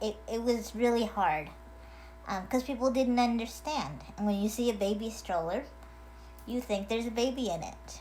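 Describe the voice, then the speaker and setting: Noticeable background noise and audible room echo fill the recording. A woman talks through it at a moderate pace. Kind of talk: casual video message. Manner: hesitant, many fillers.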